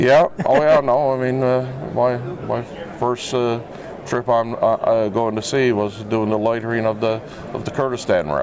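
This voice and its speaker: Over noticeable background noise, a man speaks at medium pitch and a moderate pace with fairly even intonation. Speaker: health and safety lead, former seafarer. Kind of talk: casual interview. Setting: trade show floor. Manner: halting, many fillers.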